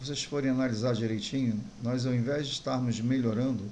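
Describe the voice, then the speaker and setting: Audible room echo surrounds a man's medium-pitched voice with a dark, mellow tone. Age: 60s. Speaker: pastor. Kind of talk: sermon.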